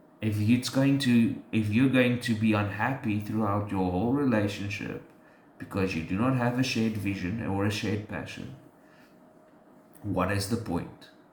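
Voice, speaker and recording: A man with a fairly low pitch speaks at a fairly slow pace and fairly even intonation, with audible room echo. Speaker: podcast co-host. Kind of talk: casual faith discussion. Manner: halting, many fillers.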